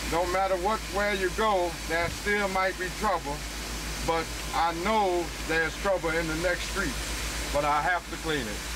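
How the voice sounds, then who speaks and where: Speaking at a fairly slow pace with long, frequent pauses, a man is heard over noticeable background noise. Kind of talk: documentary interview answer. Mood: calm, matter-of-fact. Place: car.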